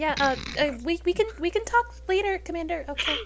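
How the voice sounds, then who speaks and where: A woman's put-on character voice, squeaky and extremely high-pitched, at a fairly quick pace over clear background noise. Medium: actual play. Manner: hesitant, filler-heavy.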